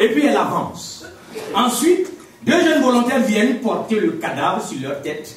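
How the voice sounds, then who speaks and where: The pitch swings very widely while the delivery stays at a fairly slow pace. Noticeable background noise runs underneath. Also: man. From Burkina Faso. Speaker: storyteller. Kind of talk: live storytelling performance to audience. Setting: theatre stage, live audience. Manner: lively, humorous, interactive.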